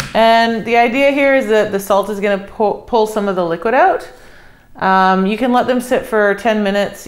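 The woman's intonation stays fairly even. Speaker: home cook host. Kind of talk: tutorial. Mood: relaxed, friendly. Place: kitchen.

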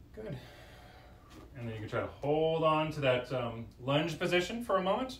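A man's fairly high voice at a moderate pace, with long, frequent pauses, audible room echo and light background noise. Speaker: fitness instructor. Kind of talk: yoga class instruction, live-streamed guided movement cues. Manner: calm, clear, directive, instructional pacing with pauses; conversational, slightly hesitant with filler words. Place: home room. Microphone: camera far.

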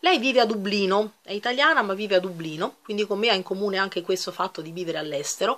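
A woman's medium-pitched voice at a very fast pace with hardly any pauses. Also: ordinary pitch variation. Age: 40s. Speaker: YouTuber. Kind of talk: casual vlog chat. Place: home room. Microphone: webcam.

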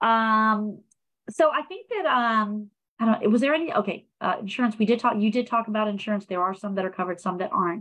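A woman with an American accent talks in a normal speaking voice at a fairly quick pace, her pitch fairly high with ordinary pitch variation, against a quiet background. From Prince George's County, Maryland; Maryland. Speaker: nonprofit public relations specialist; program host. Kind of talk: live-streamed panel discussion. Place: home room. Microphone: video call.

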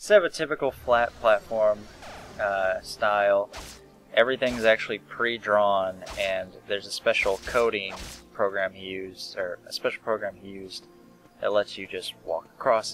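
Quiet, mumbling speech at a moderate pace, fairly even intonation, dry sound with no echo, music in the background. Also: man, fairly low pitch for a man. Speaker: let's play gamer. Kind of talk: casual gameplay commentary.

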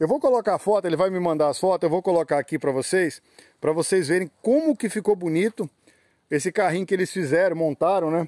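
This man's voice is high for a man, dark and mellow in tone, with ordinary pitch variation, recorded dry with no echo against a quiet background. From Espírito Santo, Brazil. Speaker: YouTube channel host touring a plant nursery. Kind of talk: casual on-site interview. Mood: enthusiastic. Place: garden. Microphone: phone near.

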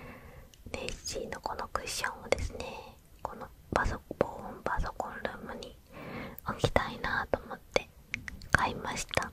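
Someone whispers softly at a fairly slow pace over loud background noise. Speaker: merch unboxing host. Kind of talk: casual unboxing chat. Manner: soft ASMR whisper. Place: home room.

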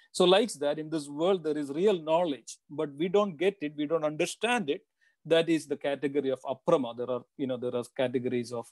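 A fairly high-pitched man with an unremarkable speaking voice talks at a fairly quick pace with ordinary pitch variation, in a dry sound with no echo and a quiet background. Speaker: religious teacher. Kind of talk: lecture. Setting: video call. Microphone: video call.

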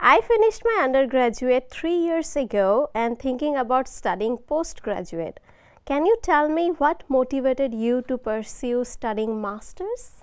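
A woman talks at a fairly slow pace in a high voice with very wide pitch swings. The background is quiet. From India. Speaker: event moderator, graduate student; event moderator. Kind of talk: online panel moderation; reading audience questions. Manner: enthusiastic. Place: meeting room. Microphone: lapel.

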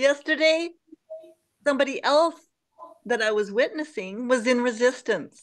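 The speaker uses lively intonation at a moderate pace, with long, frequent pauses against a quiet background. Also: woman, high pitch for a woman. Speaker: group session participant. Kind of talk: personal sharing. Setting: video call. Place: home room. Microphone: video call.

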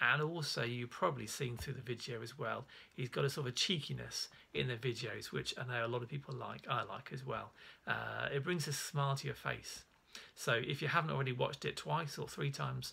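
With a bright, sharp tone and vocal fry, a man speaks at a fairly quick pace and with ordinary pitch variation. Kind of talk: casual religious teaching talk. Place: home room. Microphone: phone near.

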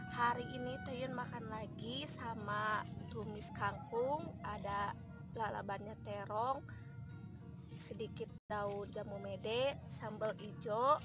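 Speech comes at a very slow pace with a dry sound and no echo. Clear music plays in the background. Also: woman. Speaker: food vlogger. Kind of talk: casual vlog chat. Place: farm machine. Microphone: phone near.

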